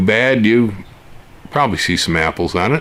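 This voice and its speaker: A man speaks at a moderate pace with ordinary pitch variation. Background noise is noticeable. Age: 70s. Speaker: gardening YouTuber. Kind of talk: casual monologue. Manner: conversational with many fillers.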